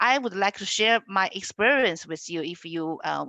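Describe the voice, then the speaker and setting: A woman with a Chinese accent, lively intonation and a fairly slow pace. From China. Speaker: education institute representative. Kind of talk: webinar presentation.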